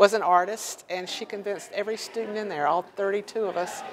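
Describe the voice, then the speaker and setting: A woman with an American accent at a moderate pace, over noticeable background noise. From US South, North Carolina (Four Oaks). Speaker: painter. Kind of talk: interview.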